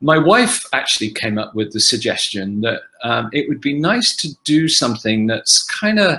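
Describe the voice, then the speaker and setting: A man with an English accent speaks at a fairly slow pace in a bright, sharp tone. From England, Oxford. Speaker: actor. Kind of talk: fan Q&A panel. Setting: video call. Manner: halting.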